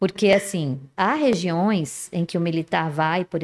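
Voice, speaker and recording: Very slowly, a woman speaks at a fairly low pitch. Her pitch variation is ordinary. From Resende, interior of Rio de Janeiro state, Brazil. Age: 50s. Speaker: women's mentor. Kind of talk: casual chat.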